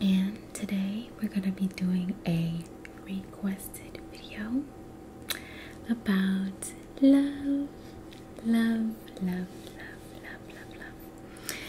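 A soft-spoken woman whispers in an American accent with a gentle tone, at a very slow pace with long, frequent pauses. Light background noise can be heard. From United States. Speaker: ASMR creator. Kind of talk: casual encouraging talk to camera. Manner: soft, gentle whisper. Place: home room. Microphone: webcam.

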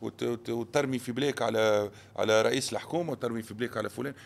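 Fairly quick speech from a man at a medium pitch. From Tunisia. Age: 40s. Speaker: businessman; podcast guest. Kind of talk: interview. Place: studio. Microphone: studio mic.

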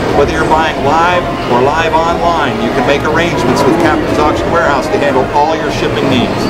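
A man's fairly high voice at a fairly quick pace, monotone and flat in intonation, under loud background noise. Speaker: auctioneer. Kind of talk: radio-style promotional ad read for an auction. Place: hall.

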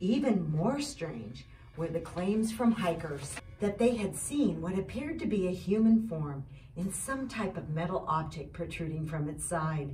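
Over light background noise, a woman speaks fairly slowly. Her pitch swings very widely. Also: fairly low pitch for a woman. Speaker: community leader. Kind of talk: reading aloud. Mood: eerie Halloween storytelling. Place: tunnel cave.

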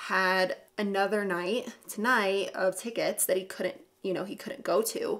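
Fairly slow and with fairly even intonation, a woman's voice comes through. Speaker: beauty vlogger. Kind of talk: casual vlog chat. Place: home room.

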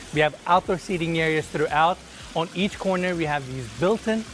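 A man speaks at a high pitch and a fairly quick pace. His pitch varies in an ordinary way, with light background noise. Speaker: real estate tour host. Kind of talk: house tour narration. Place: street.

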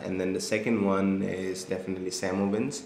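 A man's very deep, low voice in a monotone, flat intonation, at a moderate pace, with light background noise and audible room echo. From India, Assam. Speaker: marketing agency founder; interviewee. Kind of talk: interview, casual chat. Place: home room.

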